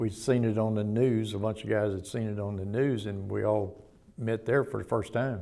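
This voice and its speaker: A man's fairly low, dark and mellow voice in a Southern US accent at a moderate pace. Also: fairly even intonation. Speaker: reform school abuse survivor. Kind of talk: testimony.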